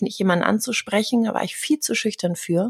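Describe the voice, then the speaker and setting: In a dry, close recording with no echo, a woman talks at a fairly quick pace with ordinary pitch variation. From Germany. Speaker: communication coach. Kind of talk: interview.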